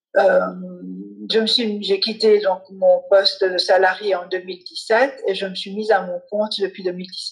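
A woman speaks at a very slow pace with a medium pitch. Her voice is somewhat breathy, with fairly even intonation. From Switzerland. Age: 40s. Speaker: family lawyer and mediator. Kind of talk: interview.

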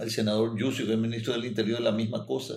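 Here a man speaks at medium pitch. His intonation is monotone and flat. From Paraguay. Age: 70s. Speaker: doctor and mayoral candidate. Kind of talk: interview.

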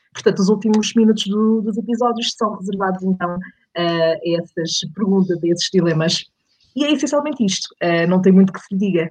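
Somewhat breathy, a woman speaks at a fairly quick pace. Her pitch is medium, with ordinary variation. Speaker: podcaster, radio background. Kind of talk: casual interview.

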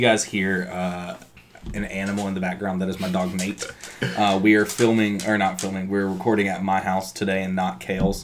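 Noticeable background noise sits under a man's fairly low voice. He moves at a fairly quick pace with fairly even intonation. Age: 30s. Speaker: podcast co-host. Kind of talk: casual chat.

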